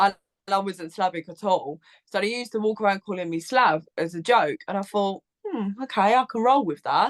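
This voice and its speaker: Heard in a dry, close sound with no echo, the speaker uses an Essex accent and ordinary pitch variation. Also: woman. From southern England, Essex. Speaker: Eurovision content creator, podcaster. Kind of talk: casual chat.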